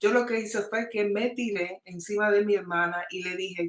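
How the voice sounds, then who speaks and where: With fairly even intonation, a woman speaks fairly slowly in an ordinary speaking voice. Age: 60s. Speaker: testimony guest. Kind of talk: testimony.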